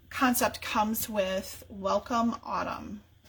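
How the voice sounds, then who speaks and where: Behind this woman's voice, background noise is noticeable. She talks very slowly. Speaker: papercraft demonstrator. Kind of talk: live-stream tutorial. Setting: home craft studio. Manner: halting, many fillers.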